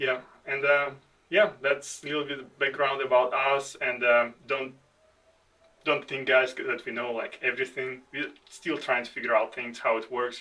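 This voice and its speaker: With a non-native accent, a man speaks at a moderate pace in a fairly high pitch, his tone bright and sharp and his intonation fairly even. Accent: foreign. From outside the United States. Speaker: army veteran, podcast co-host. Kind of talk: casual chat. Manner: halting.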